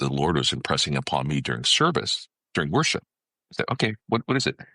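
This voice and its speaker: A man with an American accent talks very fast at a very deep, low pitch, with a bright, sharp tone, vocal fry and lively intonation, in a dry, close sound with no echo. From California, US. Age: 60s. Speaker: ministry leader and consultant. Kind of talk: testimony. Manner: frequent fillers and restarts.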